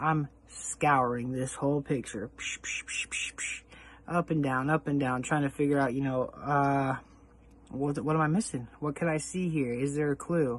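The recording is dry with no echo as a man speaks at a fairly slow pace with fairly even intonation. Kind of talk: casual storytelling recap. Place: home room. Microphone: headset.

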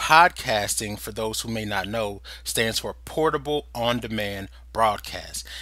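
A man speaking at a fairly slow pace, very clean recording with a silent background. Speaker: podcast host. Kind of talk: podcast intro narration.

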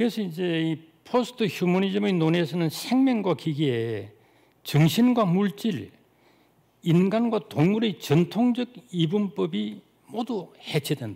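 A man's high, dark and mellow voice, very slow, with very wide pitch swings, in a quiet background. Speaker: philosophy scholar; presenter. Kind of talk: lecture. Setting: conference hall with audience. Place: hall.

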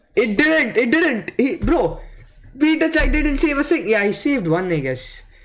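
The pitch of this man moves in very wide swings. His pace is moderate. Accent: Indian. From India. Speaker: gaming live streamer. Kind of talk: live gameplay commentary and chat with viewers. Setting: live stream. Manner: animated. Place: home room.

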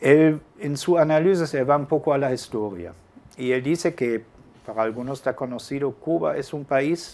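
A man with a German accent at a fairly slow pace. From Germany, Hamburg. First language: German (speaking Spanish). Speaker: journalist and author. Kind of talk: interview. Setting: studio. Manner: halting.

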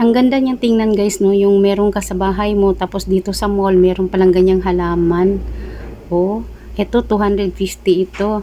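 A woman at medium pitch, flat and monotone, at a moderate pace over noticeable background noise. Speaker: vlogger. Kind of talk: vlog narration. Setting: shopping mall. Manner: casual.

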